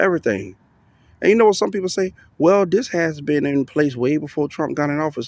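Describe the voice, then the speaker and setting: A man's unremarkable speaking voice, fairly high in pitch, with lively intonation at a fairly quick pace. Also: very clean recording, silent background. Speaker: commentary vlogger. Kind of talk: casual monologue vlog. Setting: outdoors riding a bike at night.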